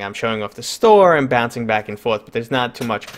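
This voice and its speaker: A man's medium-pitched voice with a strong New York accent and lively intonation. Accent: pronounced New York. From New York City. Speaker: gaming channel host. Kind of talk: live stream interview.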